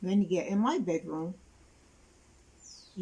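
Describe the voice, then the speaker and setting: A woman speaks at medium pitch in a dark, mellow tone that is somewhat breathy. Her intonation stays fairly even. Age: 70s. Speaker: interviewee, caregiver of sick relative. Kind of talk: interview testimony.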